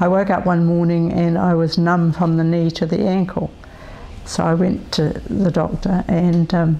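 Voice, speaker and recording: A woman's fairly low voice, monotone and flat, at a moderate pace with very even loudness, over noticeable background noise. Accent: New Zealand. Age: 70s. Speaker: person living with multiple sclerosis. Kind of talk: interview testimony. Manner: hesitant, many fillers.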